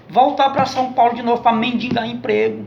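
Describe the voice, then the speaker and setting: A man with a northeastern Brazilian accent speaks at an extremely high pitch. Noticeable background noise and audible room echo fill the recording. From Northeast Brazil. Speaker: vlogger. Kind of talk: political commentary monologue. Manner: impassioned.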